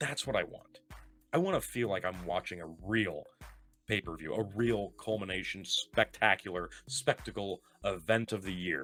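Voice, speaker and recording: Backed by music, a man with a fairly low pitch speaks at a moderate pace in a passionate tone with lively intonation. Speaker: wrestling podcast host. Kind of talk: podcast rant. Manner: passionate, emphatic.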